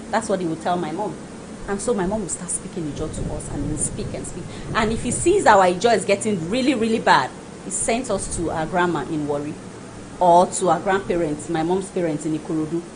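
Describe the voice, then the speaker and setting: Animated and at a fairly quick pace, a woman speaks with fairly low pitch and ordinary variation, amid audible room echo and noticeable background noise. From Nigeria, Lagos. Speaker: guest. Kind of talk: talk show discussion.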